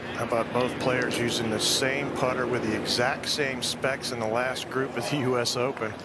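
A man speaks at a moderate pace and medium pitch, with a monotone, flat intonation and hardly any pauses. His loudness stays very even while noticeable background noise runs underneath. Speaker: golf broadcast analyst. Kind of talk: sports commentary. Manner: analytical, measured broadcast-booth delivery.

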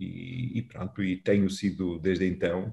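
Over a quiet background, a man with a somewhat breathy voice speaks at a moderate pace. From Portugal, Valongo (Porto area). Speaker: mayor. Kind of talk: interview. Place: office. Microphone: video call.

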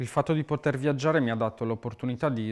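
Fairly even intonation in a man's speech. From Sardinia, Italy. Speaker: muralist artist. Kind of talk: interview monologue. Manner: halting, repeats words. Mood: calm, reflective. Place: studio.

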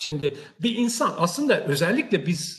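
The pace is fairly slow. This man's pitch moves up and down very widely. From Turkey. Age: 60s. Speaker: technology company CEO; guest. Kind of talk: career talk to online audience. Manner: hesitant, many filler sounds. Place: office. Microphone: video call.

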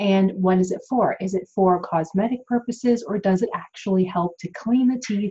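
A woman's somewhat breathy voice with a dark, mellow tone and ordinary pitch variation. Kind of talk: informational explainer vlog. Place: home room. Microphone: webcam.

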